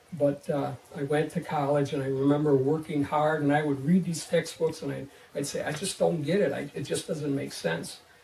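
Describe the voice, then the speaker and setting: Noticeable background noise sits behind a man with a fairly high voice. His pace is moderate and his intonation fairly even. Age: 50s. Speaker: teacher giving church testimony. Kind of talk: testimony. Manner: halting, many fillers and restarts.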